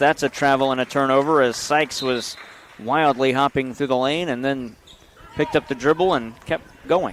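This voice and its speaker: Noticeable background noise surrounds this recording. A man talks at a fairly high pitch with ordinary pitch variation. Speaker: play-by-play announcer. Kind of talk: live sports commentary. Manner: loud; fast.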